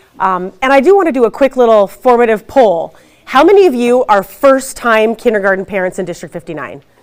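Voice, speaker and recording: A woman with a fairly high pitch talks at a fairly quick pace, her intonation lively. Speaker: school district administrator. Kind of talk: information presentation. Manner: fast.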